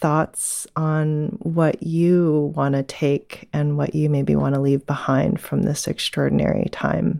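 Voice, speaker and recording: Very deep and low, a woman's dark, mellow voice moves at a very slow pace with hardly any pauses and very even loudness. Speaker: podcast co-host. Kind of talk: casual chat.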